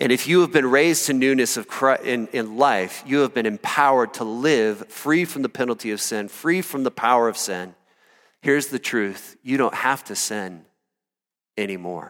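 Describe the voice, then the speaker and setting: In a normal speaking voice, a man talks at a moderate pace with medium pitch and ordinary pitch variation, recorded very cleanly against a silent background. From Iowa, US Midwest. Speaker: pastor. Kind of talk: sermon. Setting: church.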